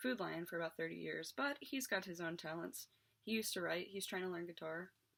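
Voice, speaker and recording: A woman with an American accent, fairly low-pitched and fried at the edges, talking at a fairly quick pace with ordinary pitch variation. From West Virginia, Morgan County. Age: 20s. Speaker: YouTuber. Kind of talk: casual storytelling monologue.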